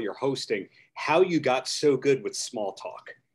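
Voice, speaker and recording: Using lively intonation, a man with a fairly high pitch and an ordinary speaking voice talks at a moderate pace. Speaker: podcast host. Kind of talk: interview. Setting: video call. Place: home room. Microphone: video call.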